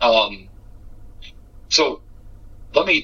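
A man with an American accent speaks over noticeable background noise. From Massachusetts. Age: 30s. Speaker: podcast interviewer, trapper. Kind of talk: casual interview. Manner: halting, repetitive.

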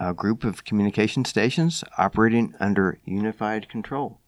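A man talks in a normal speaking voice, pitched fairly low. His pace is moderate and his pitch variation ordinary. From US South, Knoxville, Tennessee. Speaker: amateur radio organization staff. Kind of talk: interview.

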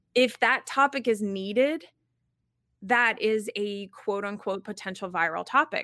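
A woman's tone is bright and sharp, with ordinary pitch variation. The recording is very clean with a silent background. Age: 40s. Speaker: LinkedIn marketing coach. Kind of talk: interview.

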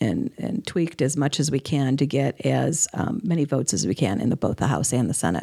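A woman speaks at a moderate pace in a very deep, low pitch. Her dark, mellow tone carries vocal fry. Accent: American. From US Midwest (Chicago). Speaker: activist group chapter leader. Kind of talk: interview conversation.

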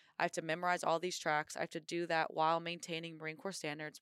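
A woman with an American accent speaks at a fairly low pitch in a monotone, flat intonation. The recording is very clean with a silent background, and the sound is dry and close with no echo. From Indiana, US Midwest. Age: 20s. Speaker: Marine officer and bobsledder. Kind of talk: interview.

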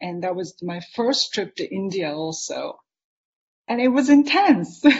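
A woman speaks at a moderate pace in a fairly high, somewhat breathy voice with lively intonation. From Japan. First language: Japanese. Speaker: artist and author. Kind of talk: interview conversation. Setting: live online video conversation.

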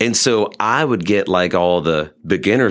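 Using an unremarkable speaking voice, a man with a fairly low pitch talks fairly slowly with lively intonation on a very clean recording with a silent background. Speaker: musician. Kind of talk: casual interview chat. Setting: studio.

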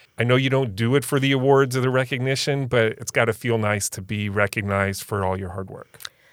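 A normal speaking voice from a man, medium in pitch with ordinary pitch variation, at a fairly quick pace with hardly any pauses. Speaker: podcast host. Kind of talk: interview with scripted intro.

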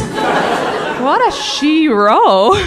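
This is a woman speaking. She has an Irish accent. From Ireland. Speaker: comedian. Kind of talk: stand-up. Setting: stage with audience.

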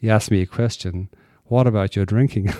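A man speaks with an Irish accent in a dark, mellow tone and fairly even intonation. The recording is very clean, with a silent background. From Ireland. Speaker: recovering alcoholic speaker. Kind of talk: testimony. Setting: stage with audience.

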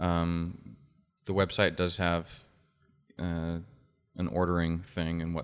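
A man speaks with a very deep, low pitch and an American accent. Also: very clean recording, silent background. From Utah (Oakley). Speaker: musician and cigar shop owner. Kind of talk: casual interview. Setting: basement studio.

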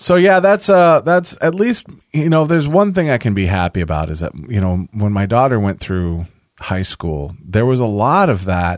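The speaker keeps a moderate pace with very wide pitch swings. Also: man, medium pitch for a man. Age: 40s. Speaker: podcast host. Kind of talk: casual chat. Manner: animated.

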